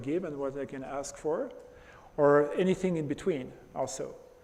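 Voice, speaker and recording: Audible room echo surrounds a man speaking fairly quickly in a fairly high pitch with ordinary pitch variation. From France. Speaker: presenter. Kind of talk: lecture.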